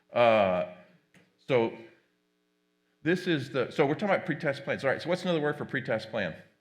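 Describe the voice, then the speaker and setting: Against a quiet background, a man speaks with long, frequent pauses. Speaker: tech company presenter moderating a panel. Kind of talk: conference presentation. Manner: fast.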